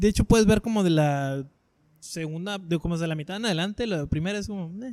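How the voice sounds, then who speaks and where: At a fairly quick pace, a man talks in a high voice with ordinary pitch variation and big swings in loudness. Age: 20s. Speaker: podcast host. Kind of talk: casual chat.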